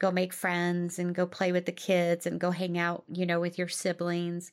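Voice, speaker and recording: A woman speaks in an American accent with a fairly low pitch and monotone, flat intonation. The recording is very clean, with a silent background. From US Midwest. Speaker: life coach podcast host. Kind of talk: solo podcast talk from notes. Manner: casual with frequent fillers.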